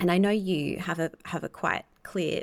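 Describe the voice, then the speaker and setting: A woman with an Australian accent, fairly low in pitch, at a fairly slow pace with fairly even intonation, in a dry, close sound with no echo and a very clean recording with a silent background. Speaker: podcast host and astrologer. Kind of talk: interview conversation.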